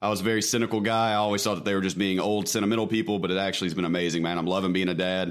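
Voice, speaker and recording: With hardly any pauses, a man with a Mississippi accent rushes along at a very fast pace in a fairly low, monotone, flat voice, with audible room echo around him. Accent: Southern US (Mississippi). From US South (Mississippi). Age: 20s. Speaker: former prisoner and streamer. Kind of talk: casual chat.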